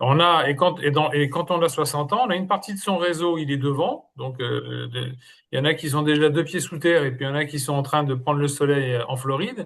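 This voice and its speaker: A man's normal speaking voice, fairly high in pitch with ordinary pitch variation, at a fairly quick pace over a quiet background. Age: 60s. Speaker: interim manager. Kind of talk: group discussion.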